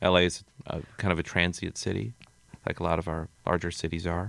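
A man with an American accent has a very deep, low pitch. The recording is very clean and the background silent. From Minnesota, Hastings. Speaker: novelist. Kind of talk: radio interview. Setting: radio studio.

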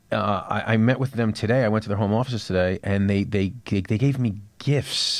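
A man with a New York accent speaks at a medium pitch with ordinary pitch variation against a quiet background. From New York City. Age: 30s. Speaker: TV writer and author. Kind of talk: interview. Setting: studio.

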